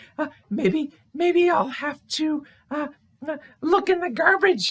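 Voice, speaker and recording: Extremely high-pitched put-on character voice from a man. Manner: fretful, stammering.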